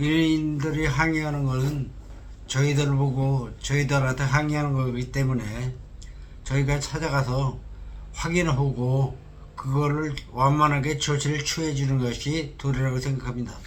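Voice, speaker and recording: A fairly high-pitched man speaks with monotone, flat intonation at a fairly slow pace. Audible room echo colors the recording. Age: 60s. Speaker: candidate for cooperative head. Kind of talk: interview. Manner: halting.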